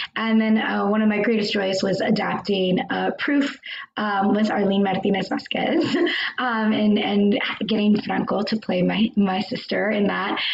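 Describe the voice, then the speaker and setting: A woman speaks with an American accent and fairly even intonation. There is noticeable background noise. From US, Mexican American. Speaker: actor and adapter. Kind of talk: panel discussion. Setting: live stream.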